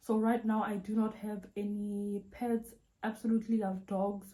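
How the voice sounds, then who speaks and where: In a South African accent, a woman speaks at a medium pitch with a dark, mellow tone. Her voice is somewhat breathy and her intonation is monotone and flat. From South Africa, Vaal Triangle south of Johannesburg. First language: Sotho. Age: 20s. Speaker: YouTuber. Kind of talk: Q&A video monologue. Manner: casual, chatty.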